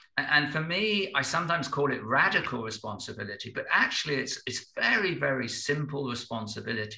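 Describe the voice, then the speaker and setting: Over noticeable background noise, a man with a fairly high pitch speaks. His pace is fairly quick and his intonation lively. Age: 60s. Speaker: business consultant and spiritual teacher. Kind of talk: podcast interview. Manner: halting, with repeated words; reflective.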